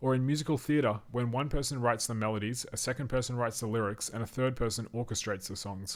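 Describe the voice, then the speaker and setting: Speaking at a very fast pace with hardly any pauses, a man keeps his intonation fairly even. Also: medium pitch for a man. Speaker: sleep-reading narrator. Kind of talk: sleep story reading of an encyclopedia article. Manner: soothing, calm.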